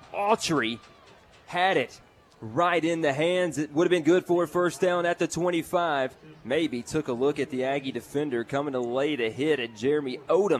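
A man talks at a moderate pace in a fairly high pitch. He has a normal speaking voice with ordinary pitch variation. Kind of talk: live play-by-play football commentary. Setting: stadium broadcast booth.

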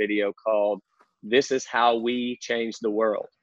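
This man talks in a rural Southern US accent at a medium pitch, his intonation fairly even. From North Central Arkansas. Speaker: church pastor. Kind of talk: casual podcast interview.

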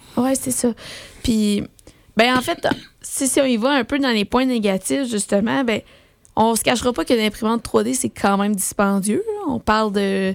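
A woman talks in a Quebec accent. She leaves long, frequent pauses. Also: fairly high pitch for a woman, ordinary pitch variation, fairly slow pace. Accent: Québécois French. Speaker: board game radio co-host. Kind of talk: casual radio chat.

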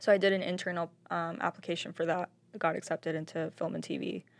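A woman with vocal fry and a fairly low pitch, talking at a very fast pace with fairly even intonation. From Northwest Arkansas, Springdale. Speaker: documentary filmmaker. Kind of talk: interview. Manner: casual, filler-heavy.

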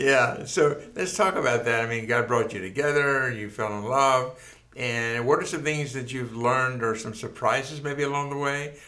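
A man's medium-pitched voice at a moderate pace, ordinary pitch variation, noticeable background noise. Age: 70s. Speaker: pastor and podcast host. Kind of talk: interview. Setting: studio.

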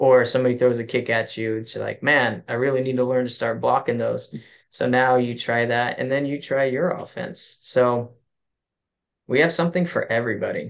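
An ordinary speaking voice moves at a moderate pace with fairly even intonation. The background is quiet. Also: man, medium pitch for a man. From US West, Kerman, California. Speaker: martial arts coach. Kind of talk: casual chat.

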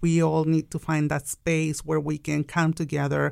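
A woman with a Mexican accent and a very deep, low pitch, at a moderate pace, on a very clean recording with a silent background. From Mexico. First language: Spanish. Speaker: business owner. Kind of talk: interview. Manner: laughs often.

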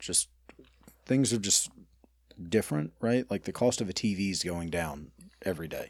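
An Alabama accent at a moderate pace, in a very clean recording with a silent background. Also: man. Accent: US South (Alabama). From Birmingham, Alabama. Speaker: restaurant owner. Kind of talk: casual interview chat.

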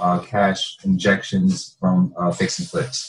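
Somewhat breathy, a man with an American accent speaks with lively intonation. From northern New Jersey. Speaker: real estate investor. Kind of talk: interview.

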